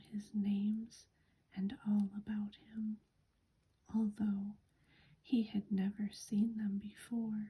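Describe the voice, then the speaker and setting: The voice is soft-spoken with a calm tone. It moves at a very slow pace. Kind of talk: soft-spoken ASMR book reading. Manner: soft-spoken, calm.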